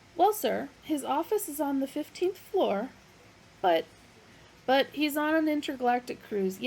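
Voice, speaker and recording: A woman puts on a character voice that is high, shrill and squeaky. She moves at a moderate pace with long, frequent pauses. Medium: read story. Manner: agitated, tart.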